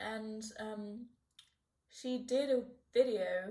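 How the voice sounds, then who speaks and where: A somewhat breathy woman's voice. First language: not English. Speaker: art YouTuber. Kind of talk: casual chat while drawing. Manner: halting, many fillers and restarts.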